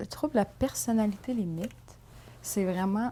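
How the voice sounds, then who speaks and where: Her voice is medium in pitch with a dark, mellow tone and ordinary pitch variation. The woman speaks with a Quebec accent. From Quebec City, Quebec. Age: 20s. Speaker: documentary interviewee. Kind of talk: interview testimony. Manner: hesitant, many fillers.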